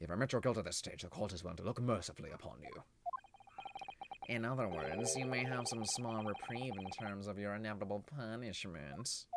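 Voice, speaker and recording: A man puts on a nasal character voice with a smug tone. He speaks at a fairly quick pace in a medium pitch with ordinary pitch variation. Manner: smug, annoying.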